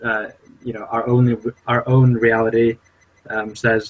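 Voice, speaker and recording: Fairly slow, somewhat breathy speech from a man at medium pitch, with monotone, flat intonation. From international upbringing, Swedish parents, born in Brazil. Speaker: podcast co-host. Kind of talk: casual chat. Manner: halting, many fillers.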